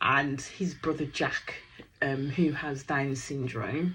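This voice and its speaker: A woman speaks with a Birmingham accent. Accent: Brummie. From Birmingham, England. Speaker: reality TV reaction YouTuber. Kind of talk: casual recap commentary. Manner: animated.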